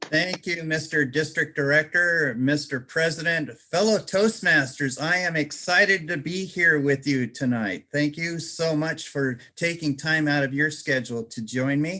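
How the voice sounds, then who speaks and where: A man with a fairly high pitch has a bright, sharp tone. He speaks at a fairly slow pace with hardly any pauses. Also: ordinary pitch variation. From overseas, outside the US. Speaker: public speaking organization leader. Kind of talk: leadership training talk.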